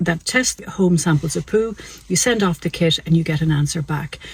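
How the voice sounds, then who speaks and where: A woman speaks at a fairly low pitch with an Irish accent. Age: 60s. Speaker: doctor. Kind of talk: health explainer video. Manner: conversational.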